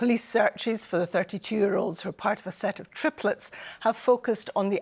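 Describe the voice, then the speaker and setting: With a Scottish accent, a woman speaks at a fairly quick pace. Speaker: news presenter. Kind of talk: TV news presenting.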